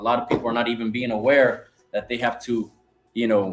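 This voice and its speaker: Music plays in the background as a man talks at a medium pitch, varying it in an ordinary way. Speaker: religious teacher. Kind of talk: bible lesson. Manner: stuttering and slurring words.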